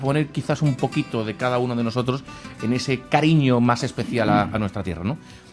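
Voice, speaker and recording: A man talks rather quickly, his pitch varying in an ordinary way, with music playing behind him. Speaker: radio presenter. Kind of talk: radio interview introduction. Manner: hesitant, many fillers.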